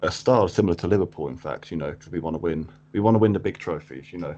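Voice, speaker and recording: Against a quiet background, a man with a southern English accent speaks in a very deep, low pitch and a dark, mellow tone. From Cambridge, England. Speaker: football fan guest. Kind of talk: casual chat. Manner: halting, repeats words.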